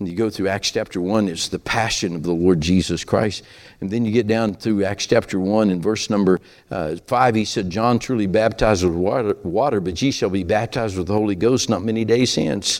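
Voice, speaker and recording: Speaking fairly quickly, this man uses a fairly low pitch. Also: ordinary pitch variation. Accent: Southern US. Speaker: preacher. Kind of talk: sermon. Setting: church.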